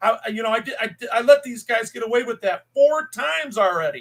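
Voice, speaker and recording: This man's pitch is extremely high. His voice is raised and projected, with a bright, sharp tone. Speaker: copwatch channel host. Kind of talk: video commentary. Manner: loud; agitated-sounding.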